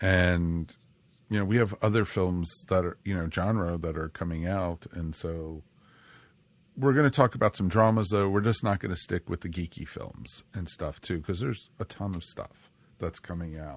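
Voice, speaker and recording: A man's very deep, low voice at a moderate pace, ordinary pitch variation, quiet background. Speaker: podcast host. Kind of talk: casual chat. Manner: animated.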